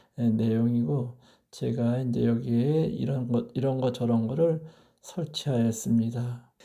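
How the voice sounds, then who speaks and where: At a very slow pace, the speaker delivers words in a dark, mellow tone. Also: man. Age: 60s. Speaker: retired teacher, vlogger. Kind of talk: personal vlog monologue. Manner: hesitant with many filler sounds; formal.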